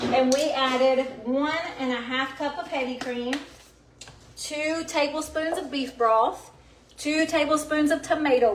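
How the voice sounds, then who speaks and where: A woman with a high pitch and ordinary variation speaks at a fairly slow pace. Noticeable background noise and audible room echo surround her. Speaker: cooking show host. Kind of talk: live cooking demonstration. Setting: home kitchen. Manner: animated.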